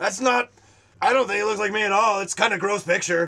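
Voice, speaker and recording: Putting on a character voice, a man rattles along at a very fast pace and a high pitch. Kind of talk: comic overacting. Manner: upbeat, then indignant and petulant.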